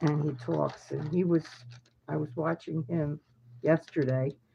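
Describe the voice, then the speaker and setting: A woman's dark, mellow voice sits very deep and low, with vocal fry. She speaks at a fairly slow pace with fairly even intonation. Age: old. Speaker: psychic news commentator. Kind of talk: casual talk to camera. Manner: hesitant, rambling.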